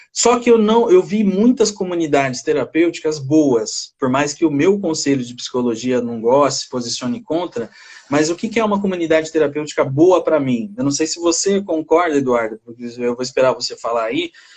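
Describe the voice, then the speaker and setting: Speaking with a Brazilian accent, a man with a fairly high pitch moves at a moderate pace with hardly any pauses and very wide pitch swings. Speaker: psychologist. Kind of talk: casual chat. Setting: video call. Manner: halting.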